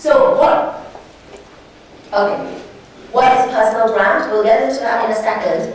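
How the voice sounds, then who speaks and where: A woman speaking at a fairly slow pace, with audible room echo and noticeable background noise. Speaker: entrepreneur and lawyer giving a talk. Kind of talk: workshop talk. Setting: room with live audience. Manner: animated; loud.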